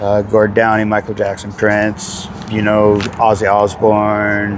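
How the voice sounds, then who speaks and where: A man speaks very slowly in a flat, monotone way, with noticeable background noise behind him. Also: fairly low pitch for a man. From Vancouver, Canada. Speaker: cover band singer. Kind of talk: casual interview. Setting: outdoors.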